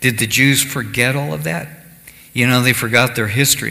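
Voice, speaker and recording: Over noticeable background noise, a man talks at a moderate pace. His pitch is medium and his intonation lively. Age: 60s. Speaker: pastor. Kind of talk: sermon. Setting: church service streamed live.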